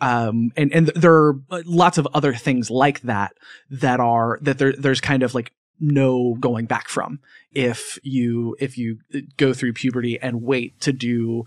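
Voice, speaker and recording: A man talks at a fairly slow pace in a plain, everyday voice, medium in pitch with fairly even intonation. The sound is dry and close with no echo, over a quiet background. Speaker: podcast host and audio producer. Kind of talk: interview conversation.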